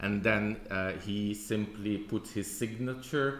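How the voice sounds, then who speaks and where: A man with a Dutch accent speaks at a fairly slow pace and fairly low pitch, with audible room echo. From Belgium (Flemish). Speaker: church historian, lecturer. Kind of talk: conference presentation. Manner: hesitant, many fillers.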